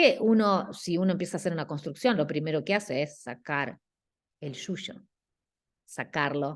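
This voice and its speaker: The speech has ordinary pitch variation and long, frequent pauses. The background is quiet. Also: woman, fairly low pitch for a woman. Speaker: guest architecture lecturer. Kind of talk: class critique of student work. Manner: slow; halting.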